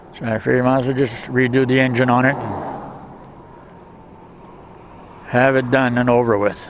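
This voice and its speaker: A man speaks at a moderate pace in a flat monotone, his voice dry with no echo over noticeable background noise. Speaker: scooter rider vlogger. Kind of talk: casual vlog chat. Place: motorbike.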